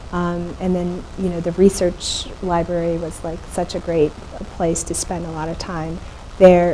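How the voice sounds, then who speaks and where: A woman's fairly low, monotone, flat voice at a fairly slow pace, with big swings in loudness and noticeable background noise. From Ethiopia, Addis Ababa. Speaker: photographer and artist. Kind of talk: panel conversation. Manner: halting.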